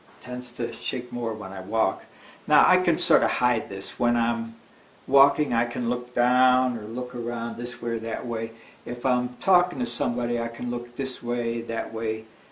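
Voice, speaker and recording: At a moderate pace, a man speaks with fairly even intonation over noticeable background noise and audible room echo. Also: medium pitch for a man. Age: 70s. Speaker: video blogger with essential tremor. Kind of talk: personal video presentation. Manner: halting, with fillers.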